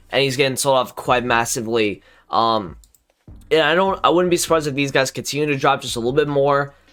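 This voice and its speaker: A quiet man with a fairly high voice, talking at a very fast pace, on a very clean recording with a silent background. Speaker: gaming YouTuber. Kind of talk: casual commentary video. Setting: home recording late at night. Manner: quiet, low volume.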